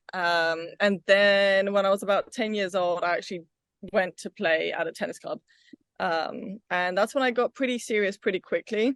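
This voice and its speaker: A woman with a British accent talks at a moderate pace and medium pitch, with ordinary pitch variation, a quiet background, and a dry, close sound with no echo. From England (London, Wimbledon), Bulgarian family. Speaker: pickleball player and tennis coach. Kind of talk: interview.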